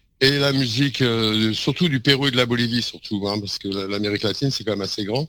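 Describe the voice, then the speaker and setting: Bright and sharp in tone, a man talks at a very fast pace with hardly any pauses, using a medium pitch and ordinary pitch variation. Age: 60s. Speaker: street musician and composer. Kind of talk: interview.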